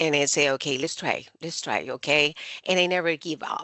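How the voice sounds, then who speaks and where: A woman with a Spanish accent, fairly low in pitch, at a moderate pace. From Colombia. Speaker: university administrator. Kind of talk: interview. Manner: halting.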